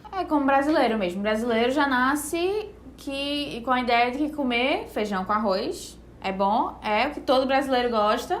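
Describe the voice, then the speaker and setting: Spoken in a northeastern Brazilian accent, the intonation is lively. The pace is moderate, with audible room echo. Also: woman, high pitch for a woman. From Brazilian Northeast, Recife. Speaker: nutritionist. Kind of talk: casual podcast chat. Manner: relaxed, conversational.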